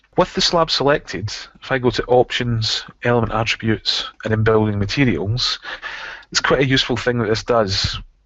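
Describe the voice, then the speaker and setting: A man speaks at a medium pitch with a Scottish accent. His pitch varies in an ordinary way, and his pace is moderate. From Scotland. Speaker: software trainer. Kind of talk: tutorial.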